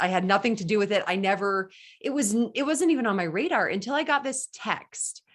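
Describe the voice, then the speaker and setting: Very clean with a silent background, the recording features a woman with an enthusiastic tone. She speaks at a fairly quick pace with lively intonation. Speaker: race announcer and radio host. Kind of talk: interview answer.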